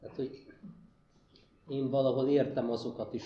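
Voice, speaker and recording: At a fairly slow pace, a man speaks in a medium pitch with a dark, mellow tone, somewhat breathy and with monotone, flat intonation. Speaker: human ecologist, university lecturer. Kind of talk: panel discussion Q&A. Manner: hesitant, repeats words.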